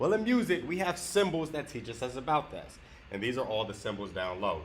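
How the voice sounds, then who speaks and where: A man with an American accent speaks at a fairly quick pace, somewhat breathy, his pitch swinging very widely. Room echo is audible. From US South. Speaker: guitar teacher. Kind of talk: tutorial.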